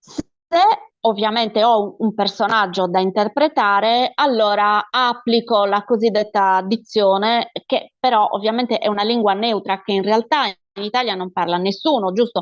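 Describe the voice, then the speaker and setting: A woman's medium-pitched voice in a Sardinian accent, with ordinary pitch variation and a moderate pace, dry and close with no echo over a quiet background. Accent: Sardinian accent when speaking as herself. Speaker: actress. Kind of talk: interview, casual chat.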